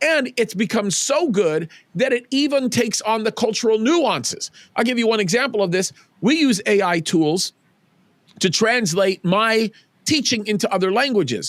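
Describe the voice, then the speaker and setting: Loud and high-pitched, a man with an American accent talks at a moderate pace with lively intonation, the sound dry and close with no echo. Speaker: pastor. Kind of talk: interview conversation. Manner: halting with repetitions.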